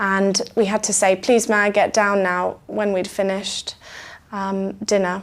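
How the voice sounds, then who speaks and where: A woman with a British accent, a medium pitch, monotone, flat intonation and a fairly slow pace. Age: 20s. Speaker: music student. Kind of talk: interview answer.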